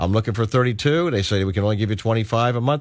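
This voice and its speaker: A very clean recording with a silent background carries an unremarkable speaking voice and lively intonation. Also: man. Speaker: radio talk show host. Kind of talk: radio interview. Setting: radio studio.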